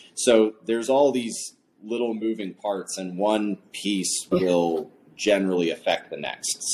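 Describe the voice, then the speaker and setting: This man has an unremarkable speaking voice, fairly low in pitch. He speaks at a fairly slow pace with ordinary pitch variation. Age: 30s. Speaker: cycling coach and bike fitter. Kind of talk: casual interview. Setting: studio.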